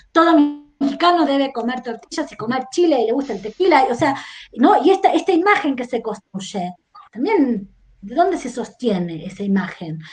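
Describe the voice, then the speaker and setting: A woman's high-pitched voice at a moderate pace, with very wide pitch swings and big swings in loudness. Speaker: historian. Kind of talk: podcast interview discussion. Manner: reflective, many rhetorical questions.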